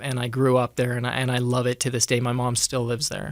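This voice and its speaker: Noticeable background noise fills the recording. Over it, a man delivers his words at a fairly quick pace. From Ireland, Dublin; raised in rural Nevada from age 7. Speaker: podcast guest in addiction recovery, musician. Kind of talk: casual interview chat.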